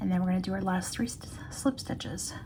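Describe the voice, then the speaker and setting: A woman's medium-pitched voice comes through with noticeable noise in the background. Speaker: crochet instructor. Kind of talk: tutorial. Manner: casual.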